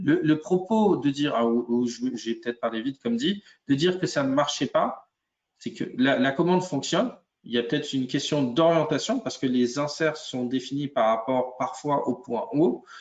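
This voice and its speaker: In an unremarkable speaking voice, a man talks at a moderate pace with a fairly high pitch. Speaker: software product expert. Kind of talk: webinar software demo. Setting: live webinar.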